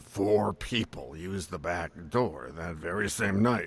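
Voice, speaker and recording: In a put-on character voice, a man speaks fairly slowly at a very deep, low pitch. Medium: video game. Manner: wry, sardonic.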